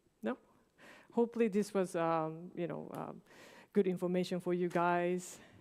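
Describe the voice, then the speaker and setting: Spoken with a Japanese accent at a moderate pace, the voice keeps fairly even intonation on a very clean recording with a silent background. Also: woman. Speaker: games market consultant, workshop speaker. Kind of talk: Q&A after presentation.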